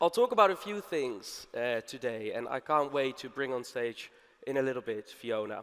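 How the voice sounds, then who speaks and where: At a moderate pace, a man speaks with lively intonation. It is a normal speaking voice at medium pitch. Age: 30s. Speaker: conference speaker, media advertising executive. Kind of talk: conference talk. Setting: stage with audience.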